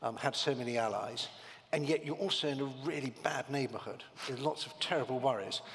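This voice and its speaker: With noticeable background noise, a man speaks in a British accent with ordinary pitch variation. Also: medium pitch for a man, fairly quick pace. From Britain. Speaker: panel moderator. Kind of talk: panel discussion. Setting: conference stage with audience.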